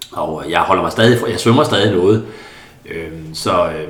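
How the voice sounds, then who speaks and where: A man's fairly low voice with audible room echo and noticeable background noise. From central Jutland, Denmark. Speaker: Paralympic swimmer. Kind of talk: interview conversation. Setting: apartment. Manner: halting, many fillers.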